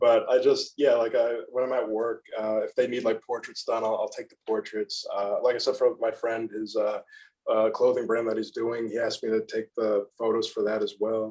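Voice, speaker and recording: A man at a moderate pace with big swings in loudness. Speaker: photographer. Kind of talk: casual chat. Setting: podcast recording. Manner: monotone.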